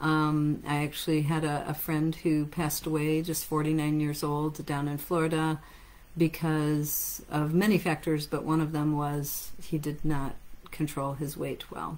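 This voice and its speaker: A flat, monotone delivery at a fairly slow pace in an American accent. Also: woman, very deep, low pitch for a woman. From United States. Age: 50s. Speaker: natural health clinic owner and practitioner. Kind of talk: lecture. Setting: live stream. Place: office.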